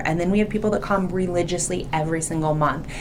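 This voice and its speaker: A woman speaks in an animated tone with a fairly low pitch. Room echo is audible, along with noticeable background noise. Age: 40s. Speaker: hospital education director. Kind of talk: podcast interview. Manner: loud.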